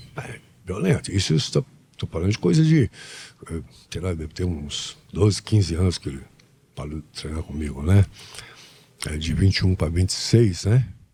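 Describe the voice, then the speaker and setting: The tone is dark and mellow, somewhat breathy, with ordinary pitch variation and a moderate pace. Long, frequent pauses break it up, and the loudness swings widely. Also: man, very deep, low pitch for a man. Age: 70s. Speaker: martial arts master. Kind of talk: podcast interview.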